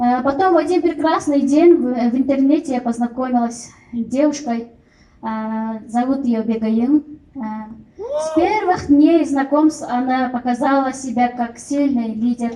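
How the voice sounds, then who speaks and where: At a fairly slow pace, a woman speaks in a high-pitched voice. Her tone is dark and mellow. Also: ordinary pitch variation. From Kyrgyzstan. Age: 30s. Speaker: network marketing distributor. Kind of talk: testimony. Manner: halting, many fillers.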